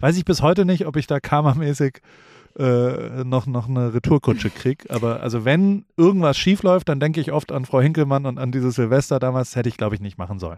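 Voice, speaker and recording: The voice has a dark, mellow tone and lively intonation at a fairly quick pace. The recording is very clean, with a silent background. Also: man, medium pitch for a man. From Heidelberg, Germany (Kurpfalz). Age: 40s. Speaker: entrepreneur and hip-hop creative. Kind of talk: casual interview chat. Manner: fast, talkative.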